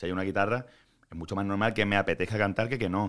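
Here a man speaks at a fairly low pitch. The recording is very clean, with a silent background. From Andalusia, Málaga. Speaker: singer-songwriter. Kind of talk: interview. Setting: studio on an 11th floor.

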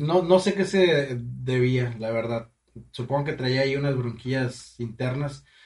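At a fairly slow pace, a man speaks in an unremarkable speaking voice with a medium pitch and ordinary pitch variation. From Mexico, Matamoros, Tamaulipas. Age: 20s. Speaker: chef and funeral business owner. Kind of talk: casual chat.

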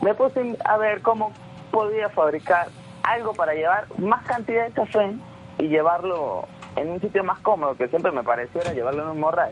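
Lively intonation and a high pitch mark this man's voice, with a Venezuelan Andean accent at a moderate pace. Music plays in the background. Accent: Venezuelan Andean accent from Mérida. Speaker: entrepreneur. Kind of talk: radio interview.

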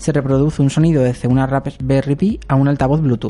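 This man's voice has a fairly high pitch and a dark, mellow tone, with fairly even intonation. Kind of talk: scripted narration; casual chat.

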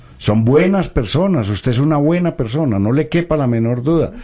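A man speaking at a fairly quick pace. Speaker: pediatrician radio host. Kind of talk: live radio health talk.

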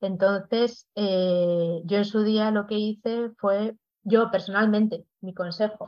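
This woman has an unremarkable speaking voice, a medium pitch and fairly even intonation. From Spain, León. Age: 40s. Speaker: proofreader and creative writing teacher. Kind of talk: casual interview.

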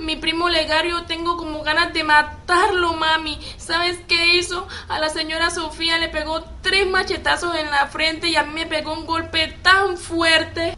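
Speaking in a raised, projected voice at an extremely high pitch, a woman goes at a fairly slow pace with hardly any pauses and a monotone, flat intonation, with noticeable background noise behind her. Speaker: amateur actor playing the young cousin Andrea.

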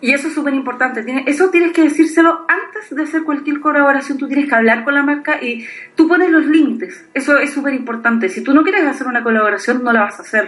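Amid audible room echo, a woman with a high pitch talks at a very fast pace. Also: ordinary pitch variation. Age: 30s. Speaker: blogger. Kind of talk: casual chat.

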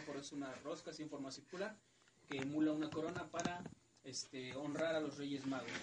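A man speaks over noticeable background noise. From central Mexico (State of Mexico). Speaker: radio show host. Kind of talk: casual chat. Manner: halting, many fillers.

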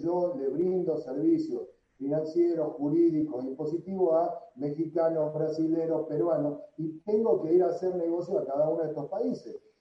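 A man with a Tucumán accent speaks at a moderate pace. His pitch is high. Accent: Tucumán Argentine Spanish. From Argentina, Tucumán. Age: 40s. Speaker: entrepreneur. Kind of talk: interview.

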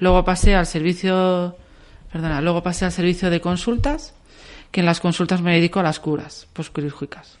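A woman's plain, everyday voice, fairly low in pitch, with ordinary pitch variation, a moderate pace and a quiet background. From Valencia, Spain. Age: 40s. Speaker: nurse. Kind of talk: radio interview.

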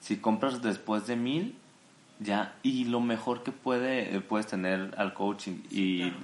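Very slow and with very even loudness, a man speaks at a fairly low pitch. His pitch variation is ordinary. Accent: Mexican. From Mexico, Jalisco. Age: 20s. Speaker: architect and entrepreneur. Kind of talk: interview.

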